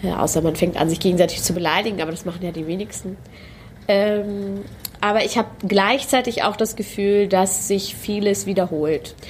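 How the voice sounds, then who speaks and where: A woman talks at a moderate pace against noticeable background noise. Her intonation is fairly even. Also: medium pitch for a woman. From Germany, Hanover. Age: 30s. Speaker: poetry slam performer. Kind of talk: interview. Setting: studio.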